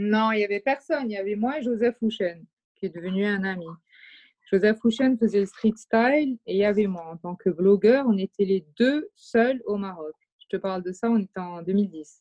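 Her medium-pitched voice has a dark, mellow tone and ordinary pitch variation. The woman speaks at a moderate pace, with a dry, close sound and no echo. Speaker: artistic director and fashion brand founder. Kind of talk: casual chat. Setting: remote recording.

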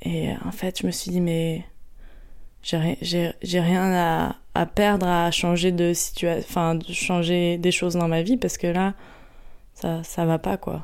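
A woman's fairly low voice, very slow, on a very clean recording with a silent background. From Paris region, France. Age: 30s. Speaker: meditation practitioner sharing her story. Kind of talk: testimony. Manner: halting, many fillers and repetitions.

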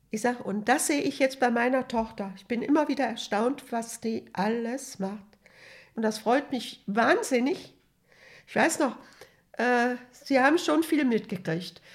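Speaking at a fairly slow pace, a high-pitched woman uses ordinary pitch variation, with big swings in loudness. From Hesse, Germany. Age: 80s+. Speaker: retiree telling her life story. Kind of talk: life story interview. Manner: halting.

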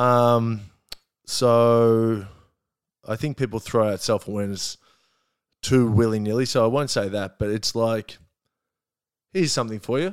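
A man speaks in an Australian accent with ordinary pitch variation and long, frequent pauses. The recording is very clean, with a silent background. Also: medium pitch for a man, moderate pace. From Australia, Melbourne. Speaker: comedian. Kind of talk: casual chat. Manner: halting.

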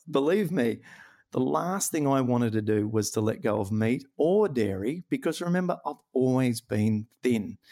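With an Australian accent and lively intonation, a man speaks at medium pitch and a moderate pace on a very clean recording with a silent background. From rural New South Wales, Australia. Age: 40s. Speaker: comedian and rheumatoid arthritis health coach. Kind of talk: interview.

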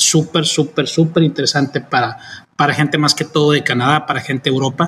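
This man's voice sits fairly high and has a bright, sharp tone. He speaks in a flat monotone. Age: 40s. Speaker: vacation rental owner. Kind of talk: casual interview chat. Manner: halting, many repetitions.

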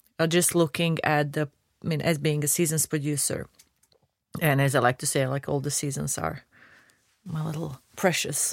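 A woman with a Croatian accent speaks at a moderate pace in a very deep, low pitch, her intonation monotone and flat. Long pauses come often, and the sound is dry and close with no echo. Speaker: video game producer. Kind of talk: casual chat.

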